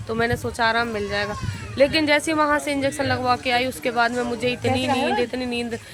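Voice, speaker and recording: The woman keeps a moderate pace while noticeable background noise carries on behind her. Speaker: vlogger. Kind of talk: casual vlog talk.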